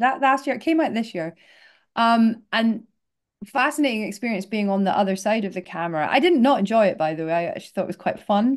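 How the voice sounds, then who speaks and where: Speaking very fast with lively intonation, a woman with a Scottish accent has a fairly high pitch. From north-east Scotland. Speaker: casting director. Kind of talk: interview answer.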